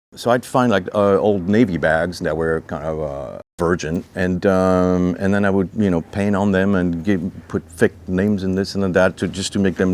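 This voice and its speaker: With a French accent, a man with a very deep, low pitch speaks in fairly even intonation, with hardly any pauses. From France. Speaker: clothing designer. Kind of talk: interview. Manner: halting.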